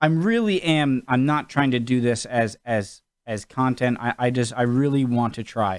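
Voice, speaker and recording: A man with an American accent, medium pitch and ordinary pitch variation, talking at a moderate pace with hardly any pauses on a very clean recording with a silent background. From New England, USA. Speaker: YouTube reaction host. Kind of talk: casual talk to camera. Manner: casual, joking.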